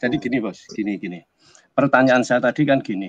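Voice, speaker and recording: With lively intonation, a man talks in a plain, everyday voice at a medium pitch. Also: dry, close sound with no echo. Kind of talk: casual discussion. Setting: video call.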